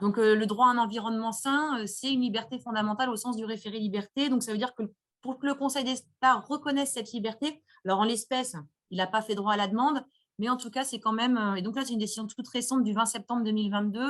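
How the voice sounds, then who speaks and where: A woman talks at a very fast pace in a fairly high, somewhat breathy voice. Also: fairly even intonation. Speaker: lawyer. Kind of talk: webinar Q&A, legal explanation.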